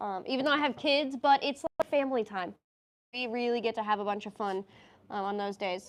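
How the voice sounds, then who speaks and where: A woman's fairly high voice at a fairly quick pace, with ordinary pitch variation and a quiet background. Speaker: business owner hosting livestream. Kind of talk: casual livestream chat. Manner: fast.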